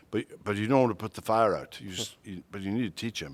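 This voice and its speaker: This is a man with a Welsh accent. His pitch varies in an ordinary way. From Wales. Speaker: retired pastor and seminary professor. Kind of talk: interview conversation. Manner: halting, many repetitions.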